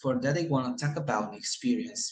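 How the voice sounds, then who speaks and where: With a Colombian accent, a man speaks at a medium pitch with lively intonation. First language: Spanish. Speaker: English student. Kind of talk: class presentation. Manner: halting.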